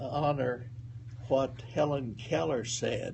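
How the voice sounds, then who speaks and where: Vocal fry marks this man's voice. He speaks at a very slow pace with ordinary pitch variation. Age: 80s+. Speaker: World War Two veteran; professor. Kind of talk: interview answer.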